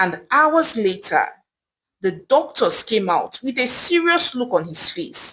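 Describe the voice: Her tone fairly bright with a slightly husky edge, a woman speaks at a slow pace with big pitch swings. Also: fairly high pitch for a woman.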